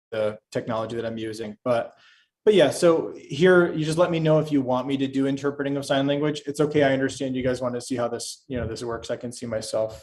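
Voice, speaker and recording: Very fast man's voice at medium pitch, with ordinary pitch variation, big swings in loudness and a very clean recording with a silent background. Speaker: sign language interpreter. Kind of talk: casual chat.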